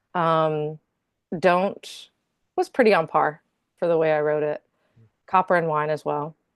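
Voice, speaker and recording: Speaking in a Southern US accent, a woman with a very deep, low pitch talks at a fairly slow pace with long, frequent pauses and fairly even intonation, her voice dry and close with no echo against a quiet background. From North Carolina. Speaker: singer-songwriter. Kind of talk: interview. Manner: casual, hesitant with fillers.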